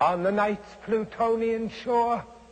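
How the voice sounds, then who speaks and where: A man talks at a fairly slow pace in a high pitch. Noticeable background noise runs underneath. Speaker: actor. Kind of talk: dramatic poetry reading.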